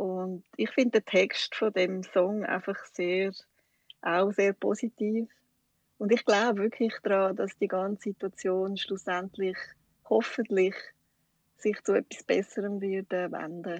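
Very slow and monotone, with flat intonation and long, frequent pauses, the voice sounds dry and close with no echo. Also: woman, medium pitch for a woman. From Switzerland, canton Schwyz (Wollerau). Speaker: shop owner. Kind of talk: interview. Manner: hesitant, many fillers.

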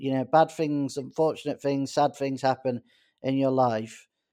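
A man with a Manchester accent speaks at a moderate pace in a fairly high voice with a dark, mellow tone. The recording is very clean, dry and close, with no echo and a silent background. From Greater Manchester, northern England. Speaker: doctor. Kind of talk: interview. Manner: halting.

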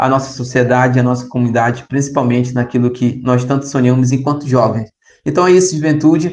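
A man's medium-pitched, ordinary speaking voice, with very even loudness and fairly even intonation. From Brazil, Arapiuns river, Pará. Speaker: youth pastoral organizer. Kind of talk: interview over messaging app. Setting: recorded remotely via app.

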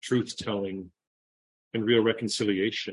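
A man talks at a moderate pace with a Canadian accent. His pitch sits in the medium range. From Toronto, Canada. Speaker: human rights NGO director. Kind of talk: interview.

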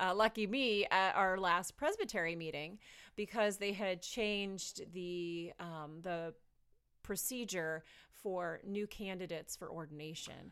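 Against a very clean, silent background, a woman in an ordinary speaking voice talks at a fairly slow pace with big swings in loudness and ordinary pitch variation. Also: medium pitch for a woman. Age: 40s. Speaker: pastor. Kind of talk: casual chat.

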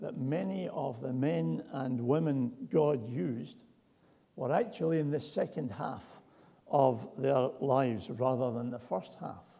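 Amid audible room echo, a man with vocal fry and a dark, mellow tone speaks at a medium pitch and moderate pace with lively intonation. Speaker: preacher. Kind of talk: sermon.

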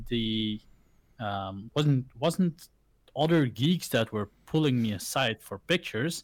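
Speaking at a fairly slow pace, a man with a Dutch accent uses lively intonation. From Belgium, village. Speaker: content creator. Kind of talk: casual chat. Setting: video call.

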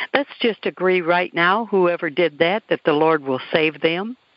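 At a fairly slow pace, a woman with fairly low pitch and lively intonation talks in an unremarkable speaking voice. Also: very even loudness. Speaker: radio host. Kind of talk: interview.

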